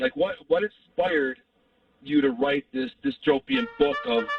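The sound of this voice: Vocal fry and big pitch swings come through at a fairly slow pace in a dry, close sound with no echo. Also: man.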